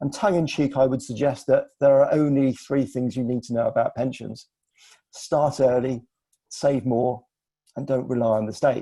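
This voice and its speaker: With an English accent, a man talks at a moderate pace in a medium pitch, his dark, mellow tone carrying fairly even intonation. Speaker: financial adviser. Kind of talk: webinar presentation. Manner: formal.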